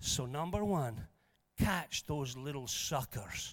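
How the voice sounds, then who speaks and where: Animated in tone, a man with a Scottish accent speaks at a fairly slow pace. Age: 60s. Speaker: preacher. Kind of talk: sermon. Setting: church.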